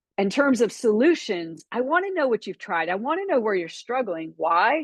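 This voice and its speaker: A woman with a slight Texan accent speaks at a fairly quick pace. The sound is dry and close with no echo, and the background is quiet. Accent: slight Texan twang. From Florida. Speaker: business coach. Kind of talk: webinar training talk.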